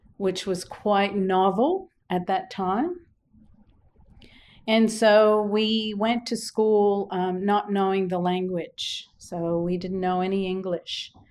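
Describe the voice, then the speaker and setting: A woman speaks very slowly at medium pitch with monotone, flat intonation. The recording is very clean, with a silent background. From Quebec, Canada. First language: French. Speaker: business director. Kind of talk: interview.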